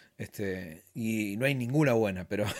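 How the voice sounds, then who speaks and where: In a very clean recording with a silent background, a man speaks with a Rioplatense accent at a medium pitch and with ordinary pitch variation. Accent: Argentine Rioplatense Spanish. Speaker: musician. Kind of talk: casual interview chat.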